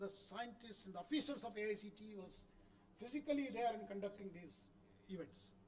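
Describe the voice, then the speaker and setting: With a South Indian accent, a man talks at a high pitch, his loudness swinging widely. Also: ordinary pitch variation, fairly quick pace. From India, Karnataka. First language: Kannada. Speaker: education official. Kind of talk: conference speech.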